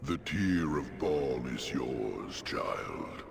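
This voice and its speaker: A man speaks in a put-on character voice with a solemn tone over loud background noise. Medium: video game. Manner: solemn, formal.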